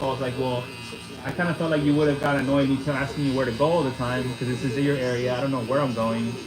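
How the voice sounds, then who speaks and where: Over noticeable background noise and audible room echo, a man with a fairly high voice talks very fast with fairly even intonation. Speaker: livestream host. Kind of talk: casual chat. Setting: livestream.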